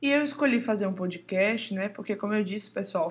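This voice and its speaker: Against a quiet background, the speaker sounds somewhat breathy with lively intonation. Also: woman. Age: 20s. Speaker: podcast host, drummer and music teacher. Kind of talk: casual monologue.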